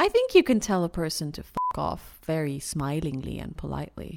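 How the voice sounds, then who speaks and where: Noticeable background noise behind a woman's moderately paced speech. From Iran and Austria, half Iranian half Austrian. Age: 30s. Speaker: guest. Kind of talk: casual chat.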